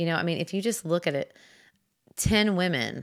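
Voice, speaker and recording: In a very clean recording with a silent background, a woman with vocal fry speaks at a moderate pace and a fairly low pitch. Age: 40s. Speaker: podcast host and fitness instructor. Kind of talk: solo podcast monologue. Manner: casual, chatty with many fillers.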